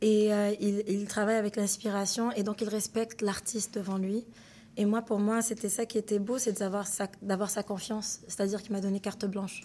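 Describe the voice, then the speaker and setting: Her tone dark and mellow, a woman speaks at a medium pitch and moderate pace with monotone, flat intonation. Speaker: singer and artist. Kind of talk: interview.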